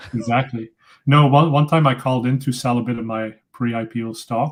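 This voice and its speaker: With a Dutch accent, a man talks at a medium pitch with fairly even intonation. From Belgium (Flemish). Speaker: tech company founder, PPC expert. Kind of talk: casual interview.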